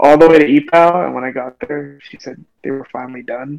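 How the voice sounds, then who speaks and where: A man in a normal speaking voice, fairly high in pitch and fairly quick, with big swings in loudness. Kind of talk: casual, slangy.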